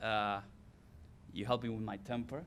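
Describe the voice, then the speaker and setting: A man talks at a fairly quick pace in an Argentine accent. His fairly low voice keeps a fairly even intonation. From Argentina. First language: Spanish. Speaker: former college athlete, hall of fame inductee. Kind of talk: acceptance speech.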